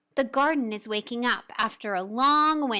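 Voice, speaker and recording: A woman performs a put-on character voice at a high pitch. She keeps a moderate pace. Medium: read story. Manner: gentle, warm.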